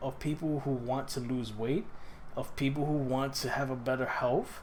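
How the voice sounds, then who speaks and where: At a moderate pace, a man with a fairly high pitch speaks amid audible room echo. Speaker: personal trainer. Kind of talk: casual vlog monologue. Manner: halting, self-correcting.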